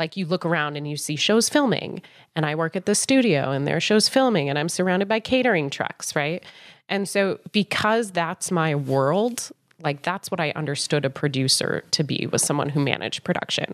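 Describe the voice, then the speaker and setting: On a very clean recording with a silent background, a woman with a plain, everyday voice and a fairly low pitch speaks at a moderate pace with lively intonation. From Colorado, US. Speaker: film producer and life coach. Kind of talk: casual interview.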